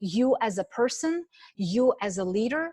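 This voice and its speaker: A fairly high-pitched woman with a non-native accent, in a dry, close sound with no echo. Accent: foreign. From Ukraine. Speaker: network marketing executive. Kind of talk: motivational speech. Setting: online call. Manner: animated.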